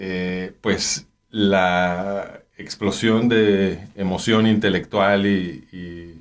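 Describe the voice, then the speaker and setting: A man with a Mexican accent speaks very slowly with hardly any pauses, a fairly low pitch and fairly even intonation on a very clean recording with a silent background. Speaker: anthropologist. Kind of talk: interview. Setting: studio. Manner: halting.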